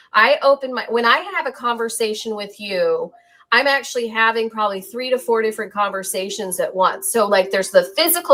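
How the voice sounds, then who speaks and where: A woman's fairly high, unremarkable speaking voice at a fairly quick pace, with lively intonation and hardly any pauses. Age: 40s. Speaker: podcast host. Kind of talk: casual chat.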